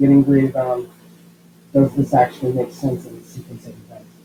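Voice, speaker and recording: A man with a fairly high pitch speaks at a fairly quick pace in a somewhat breathy, dark and mellow tone. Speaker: schoolteacher. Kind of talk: tutorial.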